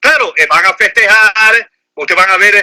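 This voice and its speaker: A man speaks in a raised, projected voice with a bright, sharp tone at a fairly slow pace. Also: dry, close sound with no echo. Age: 60s. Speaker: lawyer and political commentator. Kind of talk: phone interview. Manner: animated.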